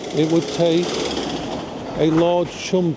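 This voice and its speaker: A man with an English accent speaks at a very slow pace amid noticeable background noise. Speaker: vlogger. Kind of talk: casual vlog monologue.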